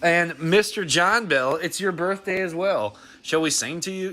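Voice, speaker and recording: A man speaks with an American accent. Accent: slight country twang, stronger when drinking. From Texas (Dallas). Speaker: mobile game streamer. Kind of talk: casual livestream chat. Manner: halting, many restarts and fillers.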